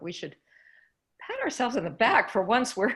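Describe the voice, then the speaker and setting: The woman's intonation is lively. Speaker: election expert presenter. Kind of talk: panel Q&A.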